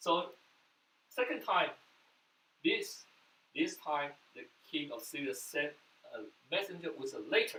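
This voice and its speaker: A man at a fairly slow pace, with long, frequent pauses and big swings in loudness. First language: Mandarin. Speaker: pastor. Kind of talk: sermon.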